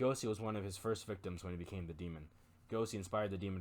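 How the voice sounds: The voice heard here is a natural reading voice.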